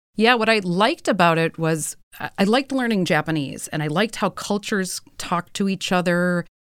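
Recorded very cleanly with a silent background and dry, close sound with no echo, a woman with a plain, everyday voice speaks at a fairly quick pace and medium pitch with ordinary pitch variation. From US Midwest. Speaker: company founder. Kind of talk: casual interview. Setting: studio.

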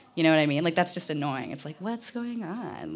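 A woman's fairly low voice with vocal fry and lively intonation. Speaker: radio producer and podcast host. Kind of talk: public talk. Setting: stage with audience. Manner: casual, hesitant with many fillers.

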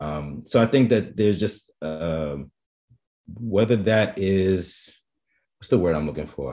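A man's very deep, low voice in a New York accent, very slow, with lively intonation and big swings in loudness. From New York, the Bronx. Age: 40s. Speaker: photographer. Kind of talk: interview. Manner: halting.

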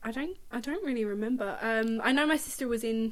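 Noticeable background noise sits behind a woman's fairly high voice. She speaks very fast. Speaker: podcast co-host. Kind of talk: casual chat. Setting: at home with a dog.

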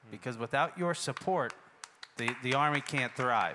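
Here is a man with an American accent and a bright, sharp tone. His pitch varies in an ordinary way. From Worcester, Massachusetts. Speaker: army musician. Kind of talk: workshop conversation on stage. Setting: festival stage with audience.

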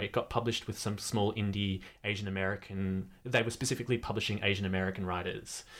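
A man talks with an Australian accent. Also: very clean recording, silent background. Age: 20s. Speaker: writer and photographer. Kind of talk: casual chat. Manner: animated.

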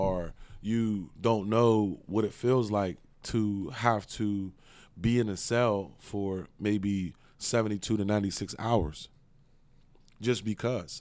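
A man with an American accent talks at a very slow pace in a fairly low pitch. His intonation stays fairly even in a very clean recording with a silent background. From Pittsburgh, Pennsylvania. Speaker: business owner on probation. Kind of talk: interview. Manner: halting, many fillers.

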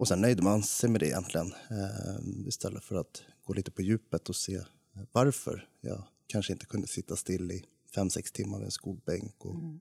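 Dark and mellow in tone, the man's fairly low voice carries vocal fry and ordinary pitch variation in a dry, close sound with no echo. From Stockholm area, Sweden. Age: 20s. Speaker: ADHD advocate, former heavy drinker. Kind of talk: casual chat.

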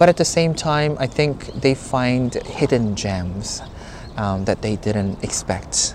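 A man talks very slowly in a Korean accent. Noticeable background noise runs underneath. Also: medium pitch for a man, lively intonation. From South Korea, Seoul (Gangnam). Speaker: tour guide. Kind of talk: casual chat. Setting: noisy cafe.

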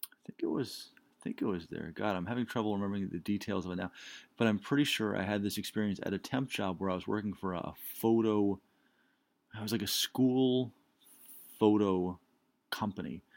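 At a fairly quick pace, a man speaks with fairly even intonation, big swings in loudness, and long, frequent pauses. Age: 30s. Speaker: solo podcaster. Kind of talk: solo monologue. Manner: halting, many fillers.

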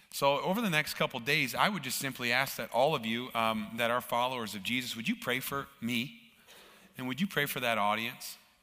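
Talking at a fairly quick pace with an American accent, a man uses a bright, sharp tone at medium pitch with ordinary pitch variation in a very clean recording with a silent background. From Minnesota, US. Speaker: guest church speaker for a charity. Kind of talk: sermon. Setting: church with live audience.

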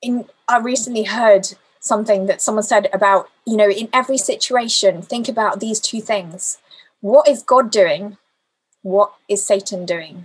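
Her voice is fairly high for a woman and somewhat breathy, with ordinary pitch variation. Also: moderate pace. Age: 40s. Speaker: lay preacher. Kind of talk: sermon.

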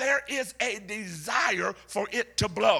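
An animated, raised and projected voice with an American accent, over noticeable background noise. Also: man. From US South. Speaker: preacher. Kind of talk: sermon to a live congregation, with call-and-response. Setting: church. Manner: animated, loud, rousing; builds to a shout and prompts the crowd to answer; humorous and playful, with laughs and asides.

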